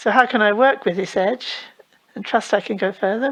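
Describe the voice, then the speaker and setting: A woman with an English accent speaks at a fairly high pitch, her intonation lively. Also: quiet background. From England. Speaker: Buddhist teacher. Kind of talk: dharma talk Q&A.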